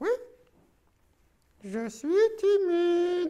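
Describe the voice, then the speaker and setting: This is a cartoonish character voice from a man. His pitch is extremely high. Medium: puppet. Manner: shy, cheeky.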